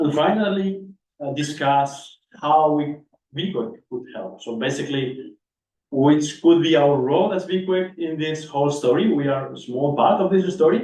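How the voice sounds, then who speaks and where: A man's somewhat breathy voice, fairly high in pitch with a dark, mellow tone, moves at a moderate pace with ordinary pitch variation and audible room echo. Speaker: session chair at a research workshop. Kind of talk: conference session introduction.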